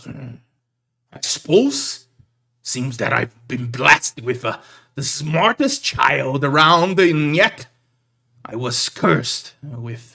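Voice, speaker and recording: Using a put-on character voice, a man talks at a fairly high pitch with lively intonation. His pace is very slow, with long, frequent pauses. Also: big swings in loudness. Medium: actual play. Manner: gruff, blustering.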